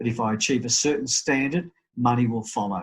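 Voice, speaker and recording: A man with an Australian accent talks at a fairly quick pace in a medium pitch, sounding somewhat breathy. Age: 60s. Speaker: real estate business owner. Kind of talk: interview. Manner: halting, many repeated words.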